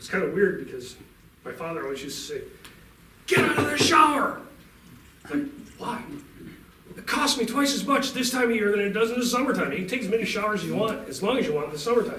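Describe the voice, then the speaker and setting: A man at an extremely high pitch speaks very fast in a raised, projected voice with very wide pitch swings, big swings in loudness and long, frequent pauses, amid audible room echo and noticeable background noise. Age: 60s. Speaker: utility company representative. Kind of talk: talk to a club meeting.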